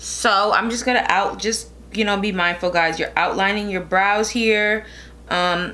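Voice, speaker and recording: In a room with audible echo, a woman speaks at a moderate pace. Her tone is bright and sharp, with fairly even intonation. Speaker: beauty vlogger. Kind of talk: makeup tutorial. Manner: casual, filler-heavy.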